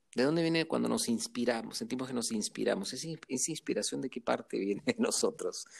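A man speaks at a fairly quick pace. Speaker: interviewee on emotions. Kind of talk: casual interview conversation.

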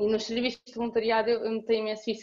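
A woman with a fairly high pitch speaks very fast in a monotone, flat delivery. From Portugal, Cascais. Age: 20s. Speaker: student volunteer. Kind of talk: casual interview chat.

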